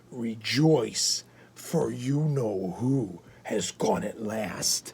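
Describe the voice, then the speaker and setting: In a put-on character voice, the speaker growls at a low-to-middle pitch. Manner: gleeful, joyful.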